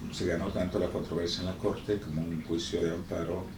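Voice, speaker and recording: Over noticeable background noise, a man speaks at a fairly quick pace in a very deep, low voice with monotone, flat intonation. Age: 70s. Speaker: retired judge. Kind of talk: interview answer.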